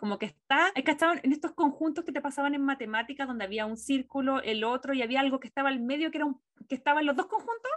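Talking at a very fast pace with hardly any pauses, a woman uses a high pitch and ordinary pitch variation. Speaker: film and TV podcast co-host. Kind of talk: casual chat.

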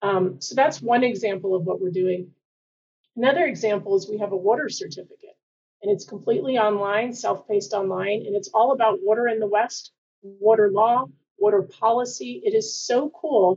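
An unremarkable speaking voice with an American accent, lively intonation and a moderate pace. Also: woman, fairly high pitch for a woman. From Washington D.C. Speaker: university administrator. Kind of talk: interview.

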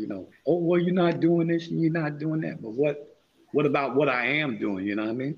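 A man talks at a fairly quick pace in a fairly high pitch. His tone is animated and his intonation lively. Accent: New York. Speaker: podcast host. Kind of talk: casual chat.

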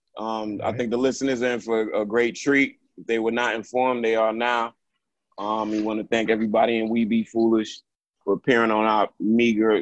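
Speaking at a moderate pace in a flat monotone, a man with a New York accent has a medium pitch, recorded with a dry, close sound and no echo. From Brooklyn, New York. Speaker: podcast host. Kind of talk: casual chat.

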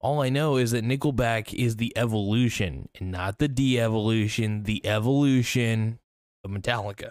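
In a very clean recording with a silent background, a man speaks at a moderate pace in a medium pitch with ordinary pitch variation. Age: 30s. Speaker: comedic YouTuber. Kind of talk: comedic monologue. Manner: valley girl inflection; animated.

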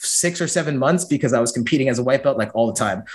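A man with an American accent, very fast, with lively intonation. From San Francisco, US. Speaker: jiu-jitsu and judo athlete. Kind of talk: casual interview chat. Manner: animated.

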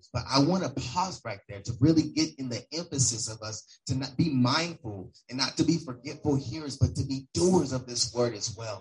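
A man speaks at a moderate pace with hardly any pauses, his medium pitch showing ordinary variation. His voice is somewhat breathy, with big swings in loudness. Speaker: church leader. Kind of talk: sermon.

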